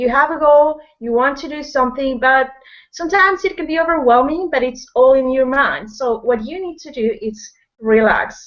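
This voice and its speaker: A woman talks at a moderate pace with a Spanish accent. Her high pitch shows ordinary variation, while her loudness swings widely. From Peru. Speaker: online business person, guest speaker. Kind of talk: motivational talk. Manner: energetic, slightly flustered.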